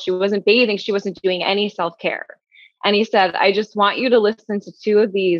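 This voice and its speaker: A woman's voice with fairly even intonation. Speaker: sleep story creator; former commercial actress. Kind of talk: interview.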